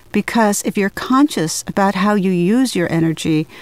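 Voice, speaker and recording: A woman talks at a moderate pace with a medium pitch. The sound is dry and close with no echo, though background noise is noticeable. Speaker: psychiatrist. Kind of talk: self-help lecture.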